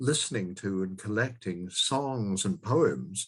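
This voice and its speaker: A man speaks with a Scottish accent and lively intonation. His voice is somewhat breathy, over a quiet background. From southwest Scotland. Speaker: former politician and tattoo commentator. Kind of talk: podcast interview.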